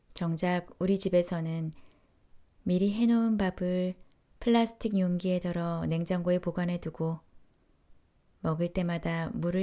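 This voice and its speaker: A woman with a fairly low pitch speaks in a calm, soothing, dark, mellow tone and monotone, flat intonation, on a very clean recording with a silent background. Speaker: audiobook narrator. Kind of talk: essay reading.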